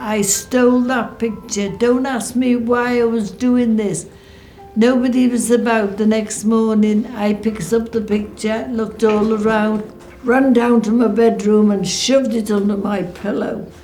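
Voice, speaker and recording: Over music in the background and audible room echo, a woman speaks at a fairly high pitch in a monotone, flat delivery. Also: fairly slow pace. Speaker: war veteran's wife. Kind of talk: testimony.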